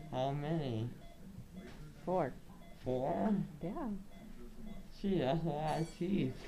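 The speaker uses lively intonation at a very slow pace, with light background noise. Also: woman, very deep, low pitch for a woman. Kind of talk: groggy casual chat. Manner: drowsy, slurred mouth-full-of-gauze speech. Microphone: phone near.

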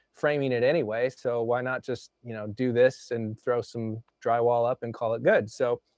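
A man talks at a moderate pace with hardly any pauses and fairly even intonation, his voice dry with no echo against a quiet background. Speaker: remote guest. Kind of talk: interview answer. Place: home room. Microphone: lapel.

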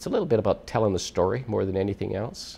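Here a man speaks with a Canadian Prairies accent. His pace is very fast. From Alberta, Canada (Edmonton); Alberta. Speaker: retired oil executive, honorary regimental colonel; interviewee. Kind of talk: interview. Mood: warm, proud, smiling. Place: studio.

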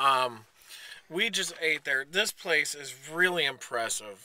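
Speaking at a slow pace, a man with a fairly high pitch uses lively intonation and a bright, sharp tone.

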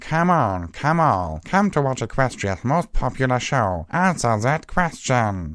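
On a very clean recording with a silent background, a man in a put-on character voice bellows in a booming way at a medium pitch, at a fairly slow pace, with very wide pitch swings. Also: very even loudness. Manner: booming, bellowing showman.

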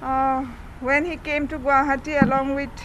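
Light background noise sits behind a woman's voice. She speaks high-pitched at a moderate pace. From Assam, India. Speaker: fraud victim. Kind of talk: press statement. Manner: halting. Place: office. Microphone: handheld.

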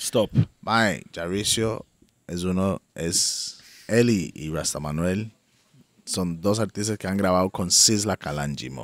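In a dry sound with no echo, a man with a very deep, low voice speaks at a very slow pace. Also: ordinary pitch variation. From Costa Rica. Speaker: podcast co-host. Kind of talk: casual chat. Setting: outdoors in the jungle. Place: garden. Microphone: studio mic.

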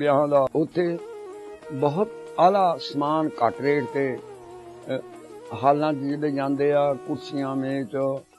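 A man's voice over clear background music. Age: 80s+. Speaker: guest giving a shop endorsement. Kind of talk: shop endorsement. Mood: warm, friendly, religious greetings. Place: studio.

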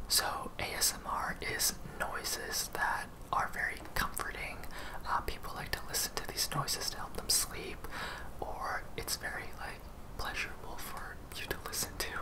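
A man is whispering. His pace is moderate. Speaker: ASMR / vlog content creator. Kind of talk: casual talk to camera. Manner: casual, chatty, playful. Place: home room.

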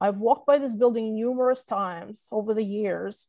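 The voice has a dark, mellow tone and ordinary pitch variation. The sound is dry with no echo, and the background is quiet. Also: woman. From Russia. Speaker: photographer. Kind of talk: presentation. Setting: video call. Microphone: video call.

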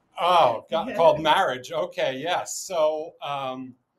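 A man speaks in a high voice. He has a New York accent. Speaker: real estate agent. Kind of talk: interview answer. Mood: cheerful, bantering. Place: office.

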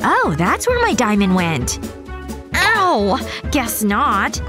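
Speech comes at a very slow pace over music in the background. The sound is dry, with no echo. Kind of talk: acted comedy dialogue.

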